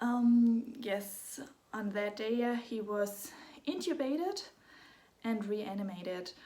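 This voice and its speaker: Speaking in a German accent at a very slow pace, a woman with a dark, mellow tone and fairly high pitch leaves long, frequent pauses amid audible room echo. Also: ordinary pitch variation. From Germany. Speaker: parent of a sick child. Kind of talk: personal story vlog. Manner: halting.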